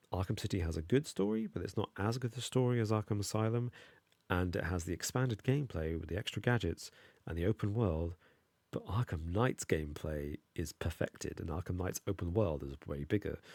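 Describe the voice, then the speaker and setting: A man mumbles at a fairly quick pace in a very deep, low voice, recorded very cleanly against a silent background with a dry, close sound and no echo. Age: adult. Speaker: gaming streamer. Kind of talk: live stream gameplay commentary. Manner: mumbling.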